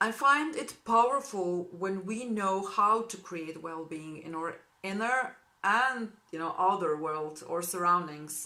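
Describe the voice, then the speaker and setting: In a Slovene accent, a woman speaks at a fairly slow pace with lively intonation and big swings in loudness. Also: medium pitch for a woman. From Slovenia. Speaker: spiritual healing practitioner. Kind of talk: informational introduction video to clients. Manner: warm, enthusiastic.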